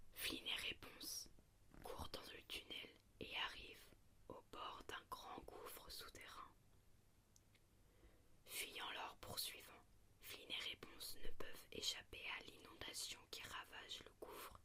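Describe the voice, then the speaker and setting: In a whisper, the words come very slowly, broken by many lengthy pauses. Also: woman. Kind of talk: story reading. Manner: whispered; soft-spoken.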